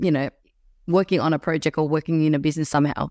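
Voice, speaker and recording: A woman with an Australian accent, in a dry, close sound with no echo on a very clean recording with a silent background. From Melbourne, Australia. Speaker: podcast host. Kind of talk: interview.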